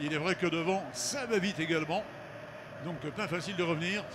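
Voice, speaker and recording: A man with a high pitch talks while noticeable background noise is present. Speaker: race commentator. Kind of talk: live commentary.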